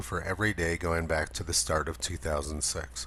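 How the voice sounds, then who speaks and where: Here a man talks at a moderate pace with a very deep, low pitch. His tone is bright and sharp, with vocal fry. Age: 60s. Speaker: climate commentator. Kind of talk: narrated video commentary.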